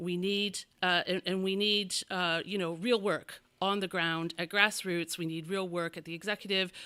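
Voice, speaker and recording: On a very clean recording with a silent background, a woman speaks loudly at a moderate pace in a bright, sharp tone, her medium-pitched voice monotone and flat. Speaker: bell ringing council presenter. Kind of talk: conference presentation. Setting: crowded meeting room with audience. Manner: halting.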